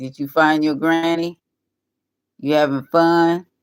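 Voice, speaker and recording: The woman speaking keeps her intonation fairly even. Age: 60s. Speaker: livestreamer. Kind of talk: casual live-stream chat. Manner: casual, conversational.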